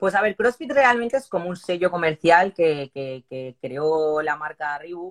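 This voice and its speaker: Speaking at a fairly slow pace, a woman with fairly low pitch uses lively intonation, and the sound is dry and close with no echo. She has an unremarkable speaking voice. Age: 40s. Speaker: CrossFit athlete and new police officer. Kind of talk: interview.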